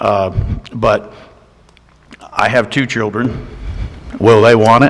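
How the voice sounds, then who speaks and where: A man speaks very slowly with a medium pitch and monotone, flat intonation. There is noticeable background noise. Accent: Georgia. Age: 60s. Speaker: county commissioner. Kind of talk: public meeting discussion. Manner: halting.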